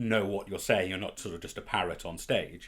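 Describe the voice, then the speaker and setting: A man with a London accent, fairly low in pitch, with ordinary pitch variation. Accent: southern English (London). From northwest London, England. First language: Italian. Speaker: opera and song singer (tenor). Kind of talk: interview. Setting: at home.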